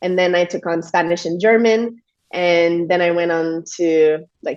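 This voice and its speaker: With a Quebec accent, a woman talks at a fairly slow pace in a fairly low pitch, her intonation fairly even. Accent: French Canadian accent in English. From Quebec, Montreal. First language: French. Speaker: yoga teacher and stress coach. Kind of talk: podcast interview conversation. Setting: video call.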